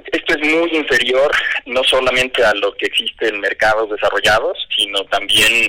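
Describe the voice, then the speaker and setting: A man's moderate pace holds against noticeable background noise. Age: 50s. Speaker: fintech company CEO. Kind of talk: radio interview.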